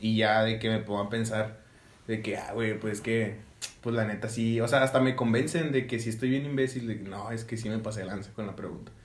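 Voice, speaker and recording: Fairly quick, fairly even speech with audible room echo. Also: man. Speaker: podcast host, engineering student. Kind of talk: casual chat.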